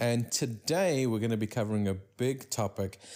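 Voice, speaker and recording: Fairly even intonation marks a man's fairly low-pitched voice. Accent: South African. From South Africa. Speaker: podcast host. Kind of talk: casual chat.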